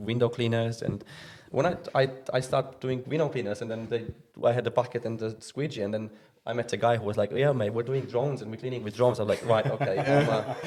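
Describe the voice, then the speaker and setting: A man with a Romanian accent talks very fast at a medium pitch, somewhat breathy, with fairly even intonation. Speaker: removal company owner. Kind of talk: podcast interview. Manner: halting.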